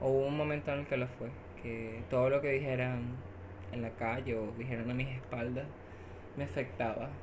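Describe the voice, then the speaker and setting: This woman's voice is very deep and low, with ordinary pitch variation at a moderate pace. Noticeable background noise and audible room echo are present. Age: 20s. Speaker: social communicator. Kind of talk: interview.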